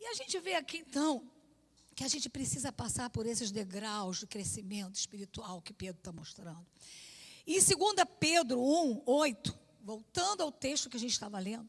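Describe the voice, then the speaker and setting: A woman speaks at a moderate pace in a high pitch. Her pitch swings very widely and her loudness shifts a lot. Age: 60s. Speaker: pastor. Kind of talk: sermon. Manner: conversational.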